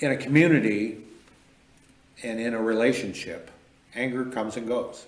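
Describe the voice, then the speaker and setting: With an American accent, a man talks at a moderate pace and fairly even intonation. Room echo is audible. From Michigan. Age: 60s. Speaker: mayor. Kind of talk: interview conversation.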